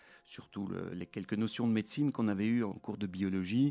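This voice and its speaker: Ordinary pitch variation at a moderate pace, on a very clean recording with a silent background. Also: man. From Belgium, Brussels. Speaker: orthopedic surgeon. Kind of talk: interview. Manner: halting.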